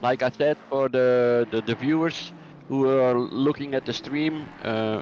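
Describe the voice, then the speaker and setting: In a Flemish accent, a man speaks at a moderate pace and medium pitch with fairly even intonation, amid noticeable background noise. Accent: Flemish Dutch accent in English. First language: Dutch. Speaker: sim racing commentator. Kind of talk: live commentary. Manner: halting.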